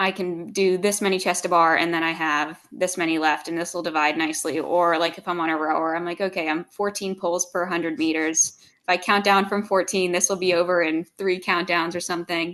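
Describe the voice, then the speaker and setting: Against a quiet background, a woman with an American accent talks at a fairly quick pace and fairly low pitch in monotone, flat intonation with hardly any pauses. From US Northeast, outside Philadelphia. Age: young. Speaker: CrossFit athlete. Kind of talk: podcast interview.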